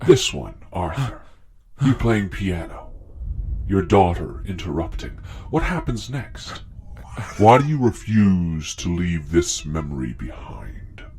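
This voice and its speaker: A man speaks in a put-on character voice at a very deep, low pitch, at a fairly slow pace with long, frequent pauses. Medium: audio drama. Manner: imperious, menacing.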